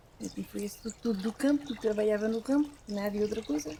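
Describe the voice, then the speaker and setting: The speaker is a woman talking very fast. There is noticeable noise in the background. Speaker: former rural worker. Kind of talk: life story interview.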